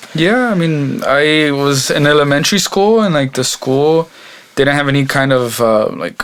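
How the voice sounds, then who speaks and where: With a Texan accent, a man at a fairly high pitch talks at a moderate pace in a relaxed tone, with lively intonation and very even loudness. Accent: Texan American English. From Texas, Mexican American family. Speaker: mariachi violinist and singer. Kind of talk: casual interview. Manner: many fillers, relaxed.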